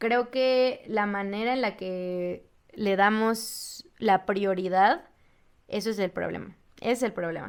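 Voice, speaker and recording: Recorded very clean against a silent background, a normal speaking voice moves through ordinary pitch variation. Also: woman. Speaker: student podcast host. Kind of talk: casual podcast narration.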